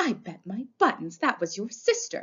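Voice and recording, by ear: Putting on a character voice, a woman speaks at a moderate pace with big pitch swings, a fairly bright tone and a husky, rough edge. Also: medium pitch for a woman.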